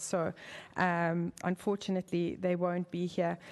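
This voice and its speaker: In a South African accent, a woman speaks at a fairly low pitch. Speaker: member of the public giving comment. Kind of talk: public comment at city council meeting. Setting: city council chamber. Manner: halting, with many fillers.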